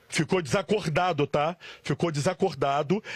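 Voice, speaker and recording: With an unremarkable speaking voice, a man talks at a fairly high pitch with ordinary pitch variation. The recording is very clean and dry, close-sounding with no echo and a silent background. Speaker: field reporter. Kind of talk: live TV news reporting. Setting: outdoors, on location. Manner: emotional, earnest.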